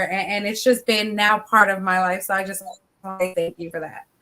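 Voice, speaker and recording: Speaking in a bright, sharp tone, a woman with an American accent keeps her pitch in the middle range. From Philadelphia, US. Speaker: author and motivational speaker. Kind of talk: interview chat.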